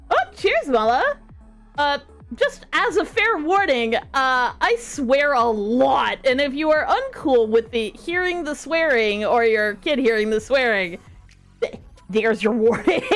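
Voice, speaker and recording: A woman with a strong Canadian accent speaks at a high pitch, her voice swinging very widely up and down. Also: fairly slow pace. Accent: thick Canadian. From small-town Canada. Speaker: streamer. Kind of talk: casual chat.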